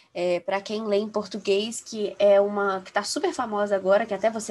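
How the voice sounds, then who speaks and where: Over noticeable background noise, a woman talks at a moderate pace and medium pitch. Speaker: law student. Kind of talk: casual chat.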